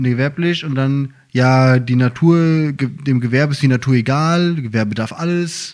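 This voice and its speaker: A man with a plain, everyday voice talks at a fairly slow pace and medium pitch, with hardly any pauses. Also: ordinary pitch variation. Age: 30s. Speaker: podcast co-host, firefighter. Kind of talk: casual chat.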